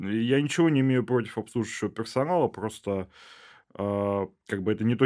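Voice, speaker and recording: In a plain, everyday voice, a man at a medium pitch talks at a fairly quick pace with ordinary pitch variation, on a very clean recording with a silent background. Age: 20s. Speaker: bioinformatics researcher and PhD student. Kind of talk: casual interview chat.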